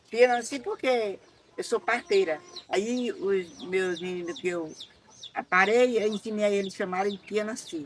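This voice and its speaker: There is noticeable background noise in this clip. A woman speaks at a fairly slow pace with a fairly high pitch. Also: lively intonation. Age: 80s+. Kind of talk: life story testimony.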